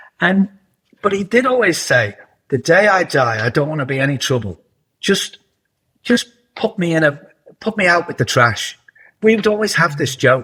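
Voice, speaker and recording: Speaking in a Liverpool accent, a man has a high pitch, a bright, sharp tone and very wide pitch swings. He keeps a moderate pace, broken by long, frequent pauses. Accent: Liverpool (Scouse) English. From northern England, Liverpool. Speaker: television producer and writer. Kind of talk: interview.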